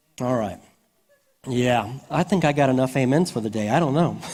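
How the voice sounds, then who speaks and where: The man's medium-pitched voice rings with audible room echo. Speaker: pastor. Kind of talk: sermon.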